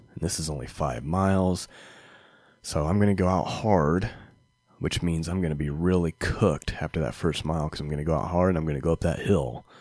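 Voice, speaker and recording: Recorded very cleanly against a silent background, a man talks in a very deep, low voice with ordinary pitch variation. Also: fairly quick pace. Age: 30s. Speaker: podcast host, amateur runner. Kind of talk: solo podcast monologue. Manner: casual, with frequent fillers.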